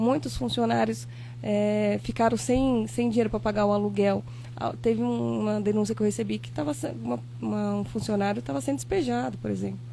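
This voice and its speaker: Soft-spoken and at a fairly quick pace, a woman talks with a very deep, low pitch, a dark, mellow tone and fairly even intonation, with audible room echo. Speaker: former local politician. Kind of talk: podcast interview.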